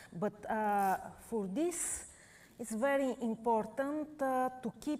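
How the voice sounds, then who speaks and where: Her high pitch moves with lively intonation. The woman talks at a very slow pace in a Bulgarian accent. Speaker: painter. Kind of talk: live painting demonstration. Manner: halting, many fillers.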